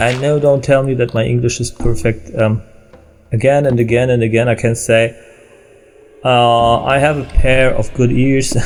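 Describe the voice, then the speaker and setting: Over noticeable background noise, a man with a German accent speaks at medium pitch and a moderate pace, his intonation fairly even. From Germany. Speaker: gaming video creator and musician. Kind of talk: let's play commentary. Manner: halting, many fillers.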